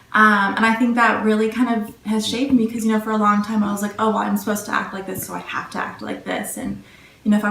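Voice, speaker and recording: With noticeable background noise and audible room echo, a woman of medium pitch talks at a very fast pace. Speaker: college student interviewee. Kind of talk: interview answers. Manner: soft-spoken.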